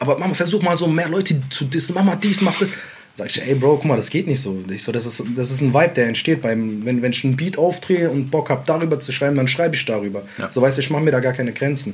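The speaker talks at a very fast pace with lively intonation. Noticeable background noise is present. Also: man. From Mainz, Germany (immigrant neighbourhood, Iraqi family). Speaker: rapper. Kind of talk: casual interview.

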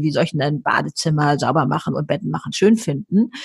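A somewhat breathy woman's voice, very deep and low in pitch, with lively intonation and a fairly quick pace. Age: 70s. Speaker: author and motivational speaker. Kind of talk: interview. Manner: animated.

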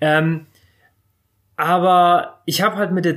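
A man speaks at a high pitch. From northern Germany, Bremerhaven. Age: 30s. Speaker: surf shop owner and YouTuber. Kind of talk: interview. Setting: his shop.

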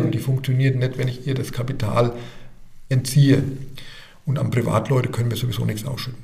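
Monotone, flat speech from a man at medium pitch, with vocal fry, a moderate pace and audible room echo. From Germany, Rhön region (Lower Franconia, Bavaria). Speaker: bank sustainability officer. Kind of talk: podcast interview.

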